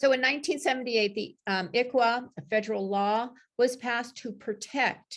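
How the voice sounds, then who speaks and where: This woman talks at a moderate pace with a high pitch and ordinary pitch variation. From Eastern band of the Cherokee Nation. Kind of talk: workshop presentation. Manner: passionate.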